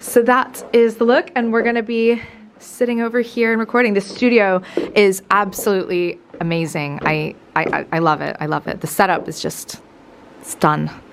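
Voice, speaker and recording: A woman with a medium pitch speaks at a moderate pace, her tone animated and her intonation lively. Her loudness swings widely over noticeable background noise. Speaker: lifestyle vlogger. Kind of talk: casual vlog talk to camera. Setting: podcast studio; outdoors and at an event. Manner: chatty, animated.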